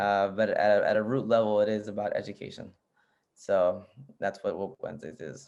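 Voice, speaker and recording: A man with a Spanish accent, at a fairly quick pace. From US, Arlington, Virginia, Nicaraguan family. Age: 30s. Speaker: PhD candidate and social justice show host. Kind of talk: casual interview chat. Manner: casual, many fillers.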